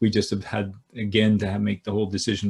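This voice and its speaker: Somewhat breathy and flat in intonation, the voice moves at a very fast pace. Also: man. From Canada. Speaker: business school professor. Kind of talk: keynote lecture. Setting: video call. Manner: halting, many fillers.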